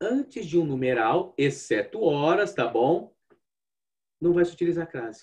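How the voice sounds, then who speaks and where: Speaking fairly slowly in a fairly high pitch, a man has an ordinary speaking voice. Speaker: language teacher. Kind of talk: online lecture.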